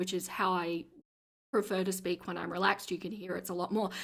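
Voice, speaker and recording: A woman's put-on character voice, raspy and medium in pitch, monotone and flat, at a fairly quick pace. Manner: relaxed.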